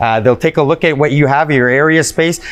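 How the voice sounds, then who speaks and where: A man talks very fast, and his pitch varies in an ordinary way. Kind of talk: interview answer. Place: shop.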